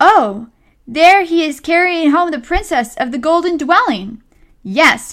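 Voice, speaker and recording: A woman puts on a character voice, pitched extremely high for a woman and delivered at a fairly slow pace. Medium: read story. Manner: ominous, knowing.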